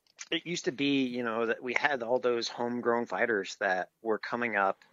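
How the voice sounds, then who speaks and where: Moderate tempo, ordinary pitch variation, and medium pitch from a man with a normal speaking voice. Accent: American. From New Jersey. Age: 30s. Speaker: jiu-jitsu instructor. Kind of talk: casual chat.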